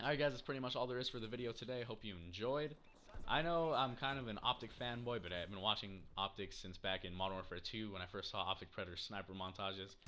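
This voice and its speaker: A man's fairly low voice, bright and sharp in tone, at a very fast pace with ordinary pitch variation. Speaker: gaming YouTuber. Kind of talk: casual video commentary. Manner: halting, stammering.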